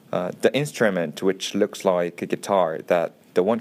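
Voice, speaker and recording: Very deep and low, a man's voice comes through. He keeps a moderate pace. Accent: Korean. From South Korea. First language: Korean. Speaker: archaeologist. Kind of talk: scripted narration. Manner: halting.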